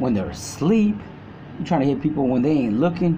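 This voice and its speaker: A man speaks with lively intonation. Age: 40s. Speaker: prison inmate. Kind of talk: storytelling. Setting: phone call. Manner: halting.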